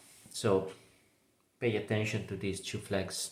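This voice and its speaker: With a non-native accent, a man talks in a space with audible echo. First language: not English. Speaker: cancer survivor. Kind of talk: testimony. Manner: halting, many fillers.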